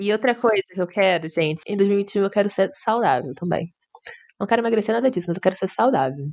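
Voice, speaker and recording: Talking fairly quickly, a woman uses a normal speaking voice with lively intonation. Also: medium pitch for a woman. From Brazil, Rio de Janeiro. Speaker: podcast co-host. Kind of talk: casual chat. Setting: virtual call.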